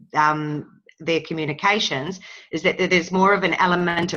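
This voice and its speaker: A woman's fairly low voice with a New Zealand accent and a bright, sharp tone. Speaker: workshop participant. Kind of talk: interactive webinar discussion. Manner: halting. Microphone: choppy connection.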